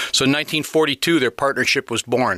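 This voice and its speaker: With a Midwestern American accent, a man speaks in a bright, sharp tone. His intonation is fairly even, and the sound is dry and close with no echo. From northern Illinois, Rockford. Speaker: retired band director and guest conductor. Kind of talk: interview. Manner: halting, with fillers.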